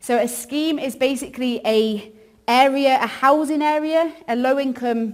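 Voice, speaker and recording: A woman's high-pitched voice at a fairly slow pace, with fairly even intonation and audible room echo. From northern England, York. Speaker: ministry worker. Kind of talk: church talk. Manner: casual, many fillers.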